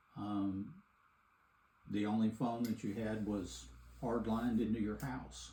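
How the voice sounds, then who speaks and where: In a Texan accent, a man with a fairly low, dark, mellow, somewhat breathy voice speaks at a fairly slow pace with long, frequent pauses, and audible room echo surrounds him. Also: ordinary pitch variation. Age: 70s. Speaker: grandfather interviewed for a school assignment. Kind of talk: interview.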